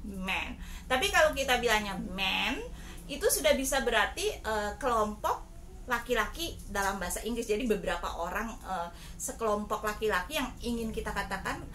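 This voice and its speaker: Fairly high-pitched woman at a moderate pace with audible room echo and noticeable background noise. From Ambon, Maluku, Indonesia. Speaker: therapist and vlogger. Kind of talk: casual vlog sharing. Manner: hesitant with frequent fillers.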